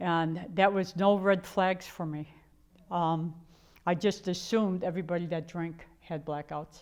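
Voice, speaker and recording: The recording is very clean, with a silent background. A woman talks at a fairly slow pace with a fairly low pitch and a monotone, flat intonation. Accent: American. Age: 70s. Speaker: author and speaker. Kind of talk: personal testimony. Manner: conversational with fillers.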